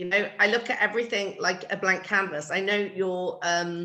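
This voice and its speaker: Bright, sharp tone from a woman with a British accent, ordinary pitch variation and a moderate pace. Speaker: floral designer. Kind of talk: casual chat.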